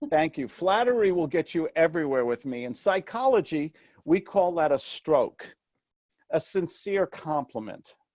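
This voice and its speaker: A man's high-pitched voice with lively intonation in a dry, close sound with no echo, on a very clean recording with a silent background. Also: moderate pace. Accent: slight New York. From New York City. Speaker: real estate mentor and author. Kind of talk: interview. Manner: animated.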